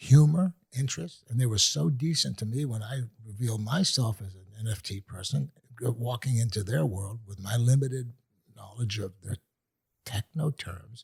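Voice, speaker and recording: Recorded with a dry, close sound and no echo, a man speaks somewhat breathily, with lively intonation and big swings in loudness. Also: medium pitch for a man, moderate pace. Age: 70s. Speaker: artist. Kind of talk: casual chat.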